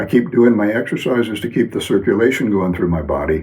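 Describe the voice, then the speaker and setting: A man talks at a fairly quick pace in a fairly low pitch with ordinary pitch variation. Noticeable background noise runs behind him. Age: 70s. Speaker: wellness teacher. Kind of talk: lecture. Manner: halting, many fillers.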